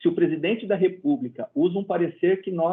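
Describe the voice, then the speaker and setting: A man talks in an unremarkable speaking voice at a fairly quick pace. His intonation is lively. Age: 60s. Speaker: medical council president and physician. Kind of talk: interview.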